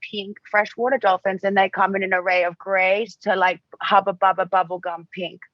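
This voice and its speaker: A woman talks at an average speed while music plays behind her. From Australia. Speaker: model and writer. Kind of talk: casual interview chat. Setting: podcast.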